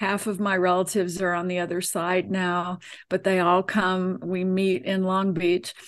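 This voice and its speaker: Against a quiet background, a woman speaks at a medium pitch in a flat monotone. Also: moderate pace. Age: 70s. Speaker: spiritual channeler and author. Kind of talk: interview, conversational.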